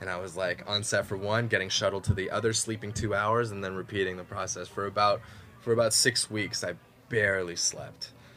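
Music plays in the background as a man talks at a fairly quick pace. His fairly low pitch stays monotone and flat. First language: Mandarin. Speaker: actor. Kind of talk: casual interview. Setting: studio. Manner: halting, many fillers.

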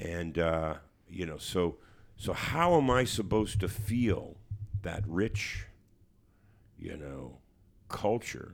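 A man with a Canadian accent talks at a very slow pace in a very deep, low pitch, with vocal fry and long, frequent pauses. His intonation is lively and his loudness swings a lot. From Hamilton, Ontario, Canada. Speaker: musician and author. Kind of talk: interview. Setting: studio. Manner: halting.

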